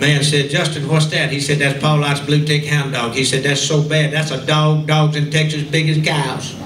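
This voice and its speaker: A man with a Southern US accent and a fairly high pitch talks at a moderate pace with hardly any pauses and very even loudness, amid noticeable background noise and audible room echo. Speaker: radio host and entertainer. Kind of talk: storytelling speech to a class reunion audience. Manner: animated.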